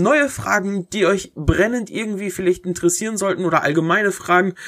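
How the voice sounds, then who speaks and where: A man at a moderate pace. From Germany, Herford, East Westphalia-Lippe. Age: 20s. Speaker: podcaster and YouTuber. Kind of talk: solo Q&A podcast, casual. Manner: casual, many filler hesitations.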